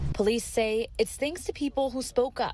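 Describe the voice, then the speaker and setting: With music in the background, a woman speaks at a moderate pace, varying her pitch in an ordinary way. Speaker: TV news reporter. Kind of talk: TV news report.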